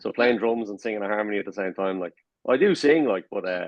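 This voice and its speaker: A man with a Dublin accent talks at a very fast pace in a fairly low voice. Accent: Irish (Dublin). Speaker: rock band drummer. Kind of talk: casual interview chat.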